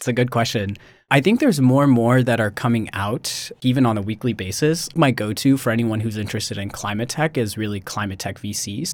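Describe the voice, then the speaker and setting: A man with an American accent and a normal speaking voice talks at a fairly quick pace with hardly any pauses, medium pitch and ordinary pitch variation, on a very clean recording with a silent background. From US Midwest, Missouri. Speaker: MBA student. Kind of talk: interview.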